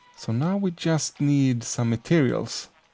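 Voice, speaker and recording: A man speaks softly with lively intonation. Music plays in the background. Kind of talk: Minecraft let's play commentary. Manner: soft-spoken.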